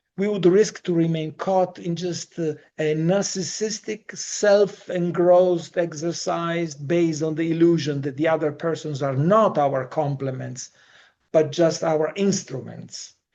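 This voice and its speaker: Speaking at a fairly slow pace with a non-native accent, a man has a high pitch, a dark, mellow tone and fairly even intonation. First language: not English. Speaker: Jungian analyst and psychologist. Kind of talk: lecture. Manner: formal.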